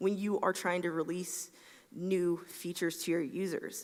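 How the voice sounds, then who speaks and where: Moderate-paced speech from a woman with a Southern US accent. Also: quiet background. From US South, Atlanta, Georgia. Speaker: software engineer, conference speaker; conference speaker. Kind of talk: conference talk. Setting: stage with audience. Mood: friendly, light humour. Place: stage.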